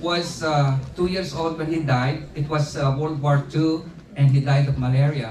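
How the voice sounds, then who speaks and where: Amid noticeable background noise and audible room echo, a man with a Filipino accent and fairly high pitch talks at a fairly slow pace. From Philippines. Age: 70s. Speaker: retired teacher and community leader. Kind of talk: birthday speech. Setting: party with audience. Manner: halting.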